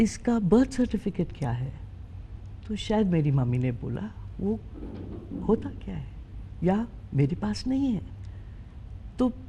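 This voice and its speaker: Her voice dark and mellow with vocal fry, a woman speaks with very wide pitch swings and long, frequent pauses. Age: 60s. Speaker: interview guest. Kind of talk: interview conversation.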